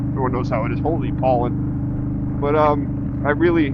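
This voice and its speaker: Against noticeable background noise and audible room echo, a man with an American accent speaks in a relaxed tone, his fairly high pitch held monotone and flat. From Massachusetts, Spencer. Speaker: motorcycle vlogger. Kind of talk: casual vlog monologue while riding. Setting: riding a motorcycle, helmet cam. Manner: relaxed, halting with fillers.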